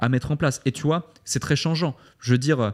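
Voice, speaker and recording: A man talks at a moderate pace. The recording is very clean and the background silent. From Switzerland. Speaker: entrepreneur. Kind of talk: interview. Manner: hesitant, with repetitions.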